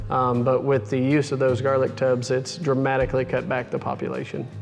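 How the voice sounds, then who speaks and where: With music in the background, a man with an American accent speaks fairly quickly in a monotone, flat delivery. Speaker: cattle rancher, managing partner of seed stock operation. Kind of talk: interview answer.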